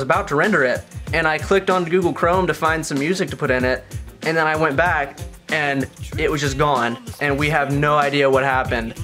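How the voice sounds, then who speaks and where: Ordinary pitch variation carries speech delivered at a very fast pace, with faint music in the background. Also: man. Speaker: channel host. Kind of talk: casual vlog chat. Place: home room. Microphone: camera far.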